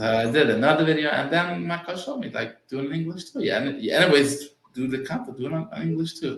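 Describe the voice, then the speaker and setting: Talking at a very fast pace with hardly any pauses, a man holds a fairly high pitch. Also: ordinary pitch variation. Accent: non-native. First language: Yiddish. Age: 40s. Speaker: real estate agent. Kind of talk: interview. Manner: halting, repetitive starts.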